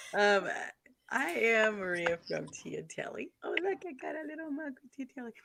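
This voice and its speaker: The soft-spoken voice moves at a moderate pace, its pitch swinging very widely and its loudness rising and falling sharply. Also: woman, fairly high pitch for a woman. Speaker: YouTuber and radio co-host. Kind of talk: casual chat. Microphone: too quiet.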